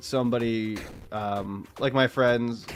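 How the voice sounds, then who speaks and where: A medium-pitched male voice carries over music in the background. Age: 20s. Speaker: video game streamer. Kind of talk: casual live stream chat while gaming. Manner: casual, with frequent stammering and restarts.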